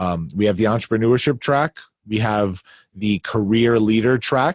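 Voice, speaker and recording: Speaking at a moderate pace with a Long Island accent, a man uses a fairly low pitch and ordinary pitch variation. The very clean recording has a silent background and a dry, close sound with no echo. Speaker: leadership coach. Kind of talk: interview. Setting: home basement.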